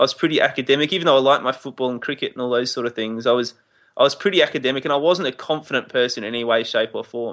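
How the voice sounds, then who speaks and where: A man is speaking. He has an Australian accent. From Adelaide, Australia. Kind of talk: casual interview chat.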